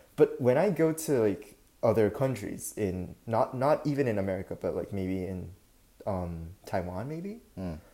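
A man with a Japanese accent speaks at a fairly slow pace, his medium-pitched voice dark and mellow with very wide pitch swings. The recording is very clean with a silent background. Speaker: podcast co-host, university student. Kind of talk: casual chat. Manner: halting.

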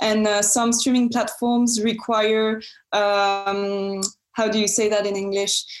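A woman speaks with a French accent at a fairly high pitch and a very slow pace, her intonation fairly even. Her loudness stays very even, and room echo is audible. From France. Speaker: film student and entrepreneur. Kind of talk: interview. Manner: hesitant, many fillers.

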